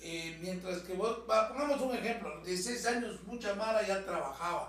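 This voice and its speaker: Amid noticeable background noise and audible room echo, a man with a Guatemalan accent speaks at a moderate pace in a high voice with ordinary pitch variation. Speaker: actor and former radio host. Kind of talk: casual chat.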